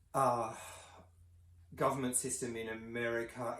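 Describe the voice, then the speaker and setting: There is audible room echo around a man speaking with an Australian accent. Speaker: counsellor and commentator. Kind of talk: video commentary monologue. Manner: halting, many fillers.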